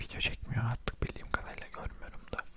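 A man whispers at a medium speed, with clear background noise around him. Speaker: ASMR content creator. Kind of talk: casual talk to camera, opinion commentary.

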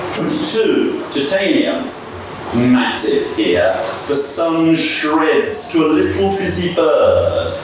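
A man speaks at a very slow pace with very even loudness. Strong room echo and noticeable background noise surround his voice. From England. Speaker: poet. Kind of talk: talk; poetry reading. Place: bar.

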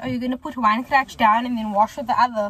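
A woman with a high-pitched voice is heard in a dry recording with no echo and light background noise. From Cape Town, South Africa. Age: 20s. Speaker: lifestyle vlogger. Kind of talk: casual talk to camera. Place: car. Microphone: phone near.

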